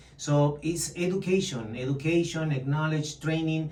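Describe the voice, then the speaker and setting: A man's voice with fairly even intonation, plus audible room echo and noticeable background noise. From Chile. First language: Spanish. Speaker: real estate agent. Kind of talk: interview.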